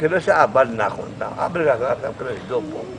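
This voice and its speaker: A man with a Yazdi accent, fairly high pitch and very wide pitch swings, at a moderate pace, over noticeable background noise. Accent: Yazdi Persian. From Yazd, Iran. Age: old. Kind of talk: casual explanation to visitors.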